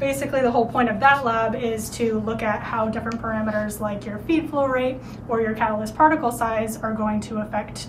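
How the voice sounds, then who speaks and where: A woman speaks at a moderate pace, her pitch varying in an ordinary way. Noticeable noise can be heard behind her. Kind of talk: lab tour explanation. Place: classroom. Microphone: camera far.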